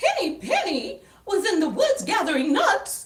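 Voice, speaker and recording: An extremely high, squeaky put-on character voice with very wide pitch swings. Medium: read story. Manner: prim and proper.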